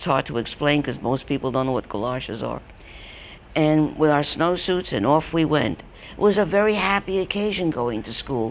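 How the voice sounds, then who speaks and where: This woman has a New York accent and a very deep, low voice. Her pitch swings very widely as she talks at a moderate pace. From New York, Brooklyn. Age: 80s+. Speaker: elderly storyteller. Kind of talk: personal reminiscence talk. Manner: halting.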